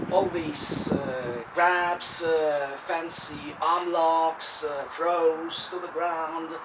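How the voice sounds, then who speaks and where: Non-native accent over noticeable background noise. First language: not English. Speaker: self-defense instructor. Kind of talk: tutorial. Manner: halting, with fillers.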